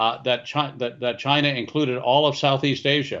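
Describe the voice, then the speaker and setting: Here is a man with an unremarkable speaking voice in an American accent. He keeps a fairly quick pace and fairly even intonation. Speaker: China expert. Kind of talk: interview answers, serious political commentary.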